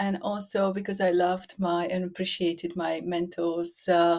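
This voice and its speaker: Her voice is fairly low as the woman speaks at a fairly slow pace. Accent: Slovak. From Slovakia. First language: Slovak. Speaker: business owner. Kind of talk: casual interview.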